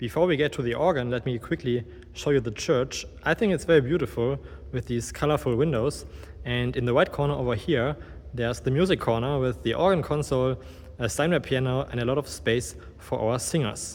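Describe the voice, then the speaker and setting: Talking at a fairly quick pace with a German accent, a man has a medium-pitched voice with vocal fry and ordinary pitch variation. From Germany. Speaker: organist and video creator. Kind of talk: guided tour presentation. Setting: inside a church.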